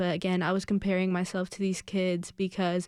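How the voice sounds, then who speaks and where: The speaker keeps a moderate pace. The recording is very clean, with a silent background. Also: woman. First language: Spanish. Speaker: Alateen member. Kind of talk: radio interview. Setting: radio studio. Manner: halting.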